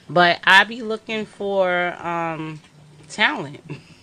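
A woman's medium-pitched voice in a New York accent, with lively intonation. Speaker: film director. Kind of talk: interview. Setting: studio.

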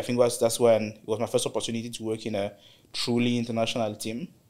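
A man talks very fast in a flat monotone at a medium pitch, on a very clean recording with a silent background. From DR Congo. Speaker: engineering director. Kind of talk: interview conversation.

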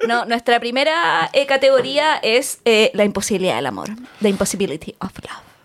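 Speaking with a Chilean accent at a moderate pace, the voice shows vocal fry, lively intonation and big swings in loudness. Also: woman, fairly high pitch for a woman. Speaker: podcast co-host. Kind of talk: casual chat.

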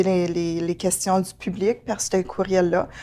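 A woman speaks at a very slow pace. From Ontario, Franco-Ontarian. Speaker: manager at a community health organization. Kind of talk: interview. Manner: halting, many fillers and repetitions.

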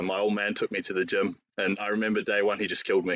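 A man speaks with a New Zealand accent. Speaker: fitness coach and powerlifter. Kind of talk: casual chat.

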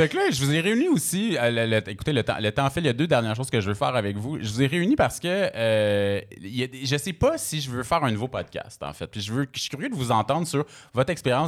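In a very clean recording with a silent background, a man uses a normal speaking voice at medium pitch, moving at a fairly quick pace with lively intonation. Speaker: radio host and DJ. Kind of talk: casual chat. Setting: stage with audience.

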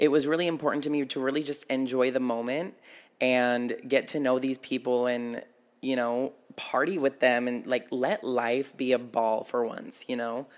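On a very clean recording with a silent background, a man of medium pitch talks at a moderate pace with fairly even intonation. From Nevada, small town. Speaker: podcaster. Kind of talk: casual monologue.

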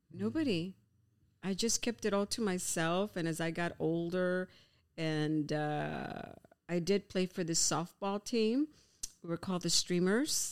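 With a plain, everyday voice, a woman talks at a fairly slow pace and a fairly low pitch, showing ordinary pitch variation and very even loudness in a very clean recording with a silent background. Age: 50s. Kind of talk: casual chat.

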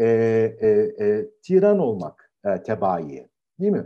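A man talks with very wide pitch swings. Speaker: philosophy professor. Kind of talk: lecture. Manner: halting.

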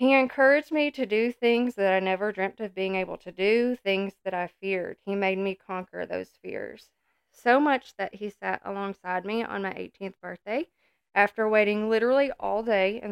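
A woman's shaky, medium-pitched voice moves at a moderate pace with ordinary pitch variation. The recording is very clean, with a silent background and a dry, close sound free of echo. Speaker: podcast co-host, wife and mother. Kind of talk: testimony; casual chat.

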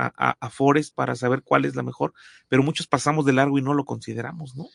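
A man speaks in a plain, everyday voice at a fairly high pitch with ordinary pitch variation. The sound is dry and close with no echo, over a quiet background. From Mexico. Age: 40s. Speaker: podcast host. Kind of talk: interview.

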